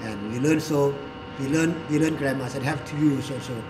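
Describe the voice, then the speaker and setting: There is audible room echo and noticeable background noise as a man talks in a fairly high voice. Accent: Thai. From Thailand. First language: Thai. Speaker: English teacher and commentator. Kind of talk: talk show commentary. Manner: halting, self-correcting.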